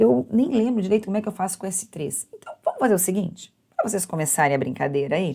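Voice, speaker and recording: A woman speaks very fast in a dark, mellow tone that is somewhat breathy. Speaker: university math teacher. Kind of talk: lecture.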